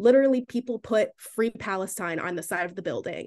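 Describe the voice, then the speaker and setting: A woman speaks in an American accent. Her intonation is lively. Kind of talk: casual chat.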